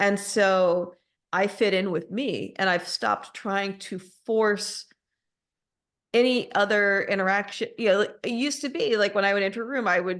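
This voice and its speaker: The speaker talks at a moderate pace in an American accent. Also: woman, medium pitch for a woman, ordinary pitch variation, quiet background. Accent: Alabama accent, comes out sometimes. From US South, Alabama. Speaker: podcast host. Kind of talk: casual interview chat.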